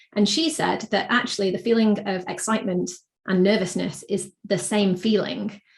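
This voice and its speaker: Vocal fry colors this woman's voice. Her pitch is medium. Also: ordinary pitch variation, moderate pace. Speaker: marketing consultant and speaker. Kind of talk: interview.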